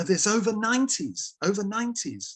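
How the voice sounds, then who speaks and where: The speech comes at a fairly quick pace in a southern English accent. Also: man. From London. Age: 70s. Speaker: table tennis league secretary. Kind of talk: interview. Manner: halting.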